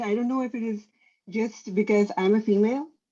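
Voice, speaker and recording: A woman speaks quite quickly in a dark, mellow tone at a fairly high pitch, her intonation fairly even. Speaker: doctor. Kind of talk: casual chat. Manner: halting.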